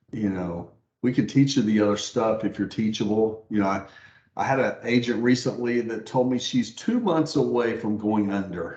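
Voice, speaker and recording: A man speaks at a moderate pace in an unremarkable speaking voice. His pitch is medium, with ordinary pitch variation. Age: 60s. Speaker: mortgage branch manager and pastor. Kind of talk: interview.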